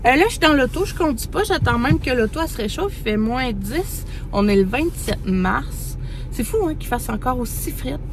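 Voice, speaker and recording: A woman's high voice with very wide pitch swings, audible room echo and noticeable background noise. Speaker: mother vlogger. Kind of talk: casual vlog talk to camera. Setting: in a parked car. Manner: fast; hesitant, many fillers.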